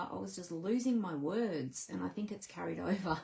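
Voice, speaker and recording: An Australian accent comes through at a moderate pace. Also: woman. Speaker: papercraft demonstrator. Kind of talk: casual live stream talk to camera.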